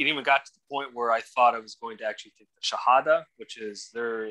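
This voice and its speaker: A man talks at a very fast pace with a bright, sharp tone and fairly even intonation over a quiet background. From Atlanta, Georgia; Georgia. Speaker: podcast guest. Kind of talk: interview testimony. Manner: halting, many repetitions. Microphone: video call.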